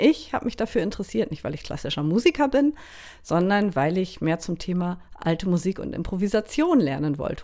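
In a very clean recording with a silent background, a woman at a medium pitch speaks at a moderate pace with very wide pitch swings. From northern Germany, Schleswig-Holstein Baltic coast. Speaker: bagpipe player and podcast host. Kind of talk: casual monologue.

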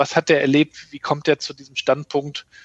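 A man speaks in a plain, everyday voice at a moderate pace, his pitch fairly high. The sound is dry and close, with no echo. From northern Germany, Rostock (former East Germany). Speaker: digital agency consultant and rapper. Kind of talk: interview conversation. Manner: frequent fillers and restarts.

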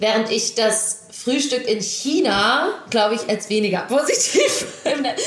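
With music in the background and audible room echo, a woman speaks at a high pitch and a fairly slow pace, her intonation lively. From western Germany, Düsseldorf and Krefeld. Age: 20s. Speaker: national field hockey player. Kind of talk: casual interview.

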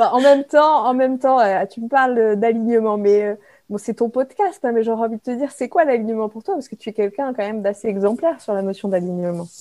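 Talking at a very fast pace, a woman with a fairly high pitch and a dark, mellow tone shows ordinary pitch variation and big swings in loudness. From France, Brignais near Lyon. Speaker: management coach and author. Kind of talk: casual interview. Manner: hesitant, many repetitions.

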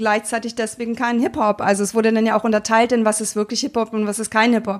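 A fairly high-pitched woman's voice on a very clean recording with a silent background. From Germany, Berlin. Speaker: hip-hop pioneer and former DJ. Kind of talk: interview. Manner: hesitant, many fillers.

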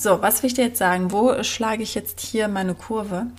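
A woman speaks at a moderate pace with vocal fry and ordinary pitch variation. The recording is very clean, with a silent background. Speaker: podcast host and business coach for mothers. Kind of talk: casual monologue.

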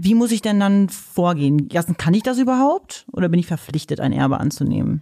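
Speaking at a fairly quick pace with lively intonation, a woman with a fairly low pitch and a dark, mellow tone keeps her loudness very even in a dry, close recording with no echo. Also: hardly any pauses. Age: 30s. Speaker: podcast co-host. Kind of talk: casual chat.

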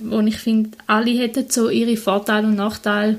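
There is noticeable background noise. A woman speaks at a fairly high pitch and a moderate pace. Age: 20s. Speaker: vicar (trainee pastor), podcast co-host. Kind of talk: casual conversation.

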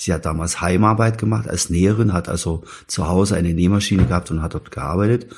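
At a very fast pace, a man speaks with a very deep, low pitch and ordinary pitch variation. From Saxony, near Chemnitz. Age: 50s. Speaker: former East German expellee, electrician. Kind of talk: interview, personal testimony. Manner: halting, many fillers.

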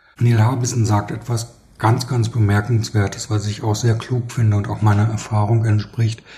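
With a dark, mellow tone and a somewhat breathy quality, a man talks at medium pitch in a monotone, flat delivery. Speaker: publicist. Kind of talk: interview.

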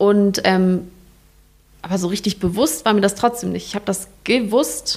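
Her pitch is medium with ordinary variation, and the tone is slightly mellow. This woman keeps a moderate pace.

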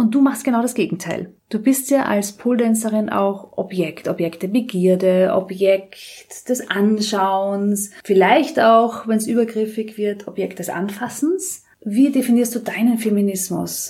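Somewhat breathy and dark, mellow in tone, a woman with a fairly high pitch talks at a fairly slow pace with hardly any pauses. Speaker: politician and podcast host. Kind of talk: interview. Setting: in the guest's flat.

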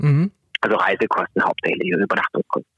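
A man with a Swabian accent, in a dry, close sound with no echo. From Swabia, southwest Germany. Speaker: climate protection worker. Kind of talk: phone interview. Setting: phone call.

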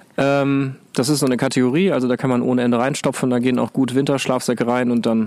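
There is noticeable background noise. Over it, a man talks at a medium pitch. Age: 40s. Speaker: climbing instructor. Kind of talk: casual chat. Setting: outdoors.

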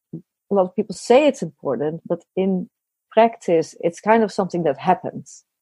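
Dry and close with no echo, a woman's dark, mellow voice of medium pitch moves at a moderate pace with lively intonation in a Dutch accent. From Netherlands. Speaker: business consultant. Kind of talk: interview.

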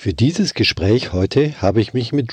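A man's dark, mellow, somewhat breathy voice with a slight Bavarian accent, lively intonation and a fairly slow pace against a quiet background. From Bavaria, Germany. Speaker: orchestra violist, podcast host. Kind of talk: scripted podcast intro and casual chat. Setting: Skype call.

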